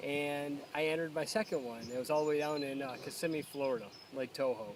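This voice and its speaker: A man with an American accent, fairly high-pitched, talking at a very fast pace with ordinary pitch variation over noticeable background noise. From upstate New York (Endwell). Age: 30s. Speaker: competitive angler. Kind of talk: casual personal interview. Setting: outdoors by a pond. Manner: halting, many fillers.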